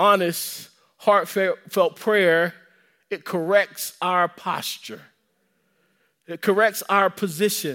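With an American accent, a man with a high pitch uses a raised, projected voice and a bright, sharp tone, speaking at a very slow pace with long, frequent pauses and fairly even intonation on a very clean recording with a silent background. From US South. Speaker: pastor. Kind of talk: sermon. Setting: church.

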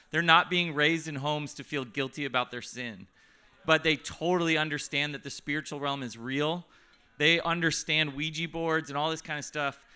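The speaker is a man with a fairly high pitch. His tone is bright and sharp. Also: moderate pace. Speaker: ministry host/leader. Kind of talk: casual teaching, introduction. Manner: casual, animated.

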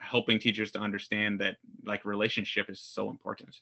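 Here a man talks at a very fast pace. His pitch is fairly low. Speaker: school principal. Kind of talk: casual interview chat. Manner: fast talker.

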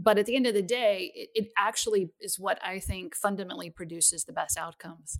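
A woman with an unremarkable speaking voice and medium pitch talks at a fairly quick pace with hardly any pauses and ordinary pitch variation. Her loudness swings a lot, and the sound is dry and close with no echo. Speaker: chief technology officer. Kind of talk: casual interview chat.

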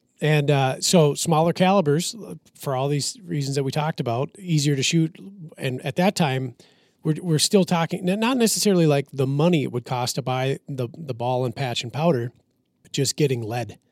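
Featuring an unremarkable speaking voice, a man with an American accent and a fairly high pitch talks at a moderate pace with lively intonation and big swings in loudness, the sound dry and close with no echo on a very clean recording with a silent background. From Minnesota. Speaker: firearms and ballistics expert. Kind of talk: casual chat.

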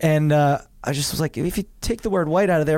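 A man with a New Jersey accent at a fairly quick pace. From New Jersey shore. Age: 30s. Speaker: actor and comedian. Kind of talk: casual chat.

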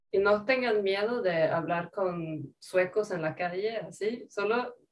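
Speaking with a Swedish accent, a woman uses a medium pitch and ordinary pitch variation. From rural Sweden. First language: Swedish (speaking Spanish). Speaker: language learning content creator. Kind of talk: casual interview chat.

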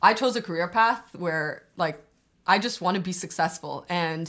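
With a Canadian accent, a woman speaks in a normal speaking voice at a fairly low pitch and fairly slow pace with ordinary pitch variation. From Albania, then Toronto area. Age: 20s. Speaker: law student. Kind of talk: casual chat.

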